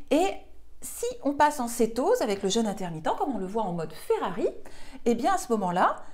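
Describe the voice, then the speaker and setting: With very wide pitch swings, a woman with a fairly high voice speaks at a fairly quick pace broken by long, frequent pauses. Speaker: nutrition and weight-loss coach. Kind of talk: online course explainer video.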